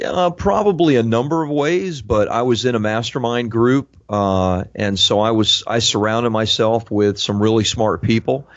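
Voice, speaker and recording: Talking at a fairly slow pace, a man keeps to a medium pitch. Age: 50s. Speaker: entrepreneur and author. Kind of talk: interview. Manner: hesitant fillers, repeats words.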